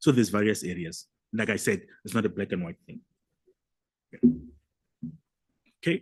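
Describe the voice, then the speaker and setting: Speaking fairly quickly in a Limpopo accent, a man uses lively intonation, big swings in loudness and long, frequent pauses. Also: fairly low pitch for a man. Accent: South African (Limpopo) English. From South Africa, Limpopo. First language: a South African language (English is seventh). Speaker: academic presenter. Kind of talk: conference Q&A answer.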